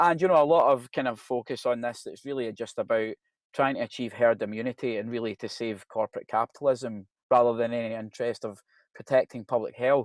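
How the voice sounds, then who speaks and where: A man with a Glasgow accent at a medium pitch and fairly quick pace, with fairly even intonation, in a dry, close sound with no echo and a very clean, silent background. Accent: Scottish (Glasgow). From Scotland, Glasgow. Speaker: professor. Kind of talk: presentation. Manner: conversational, hesitant with fillers.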